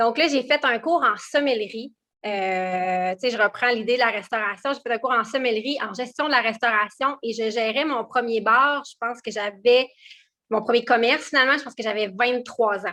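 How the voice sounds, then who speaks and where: Recorded very cleanly against a silent background, a woman speaks at a moderate pace with a bright, sharp tone, fairly high pitch and ordinary pitch variation. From Quebec, Quebec City and Montmagny region. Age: 30s. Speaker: entrepreneur. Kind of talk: interview. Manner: halting, many fillers.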